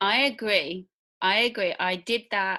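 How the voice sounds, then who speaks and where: A woman speaks with a Midlands accent in a bright, sharp tone. Her pitch varies in an ordinary way against a quiet background. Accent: British Midlands. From English Midlands, near Birmingham. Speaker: podcast host. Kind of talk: interview conversation.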